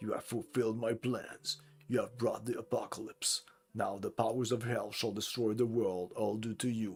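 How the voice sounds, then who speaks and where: Over faint music in the background, a man uses a put-on character voice at medium pitch, speaking at a moderate pace with monotone, flat intonation. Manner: evil, gloating.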